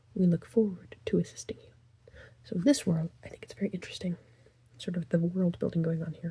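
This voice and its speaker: A soft-spoken whisper at a very fast pace. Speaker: ASMR creator. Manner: whispering.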